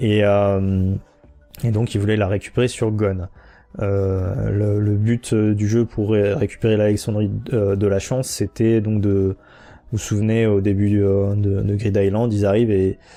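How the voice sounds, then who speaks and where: Over a quiet background, a man with a fairly low pitch and a dark, mellow tone speaks at a fairly slow pace in a monotone, flat intonation with very even loudness. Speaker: podcast host. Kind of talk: casual explanatory monologue. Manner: hesitant, many fillers.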